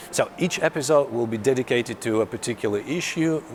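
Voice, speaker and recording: A fairly quick man's voice in a Russian accent, over noticeable background noise. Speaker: car journalist. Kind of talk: vlog. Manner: halting.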